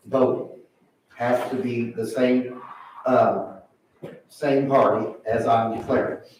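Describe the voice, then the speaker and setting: An American accent marks this man's very slow speech, heard with audible room echo. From Indiana (Indianapolis). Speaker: political candidate. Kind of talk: public hearing testimony. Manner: halting, repetitive.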